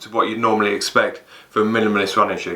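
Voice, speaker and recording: With an English accent, a man is heard over noticeable background noise and audible room echo. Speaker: fitness YouTuber, running coach. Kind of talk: product review. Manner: halting, repeats words.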